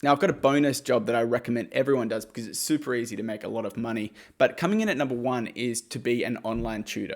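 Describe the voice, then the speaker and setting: A man with an Australian accent speaks at a medium pitch with an energetic tone, ordinary pitch variation, a very fast pace and hardly any pauses, on a very clean recording with a silent background. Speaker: YouTuber giving money-making advice. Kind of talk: direct-to-camera explainer. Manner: casual, energetic.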